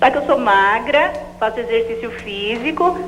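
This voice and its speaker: A woman is speaking. The room echo is audible and background noise is noticeable. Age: 30s. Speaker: TV caller. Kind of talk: call-in question.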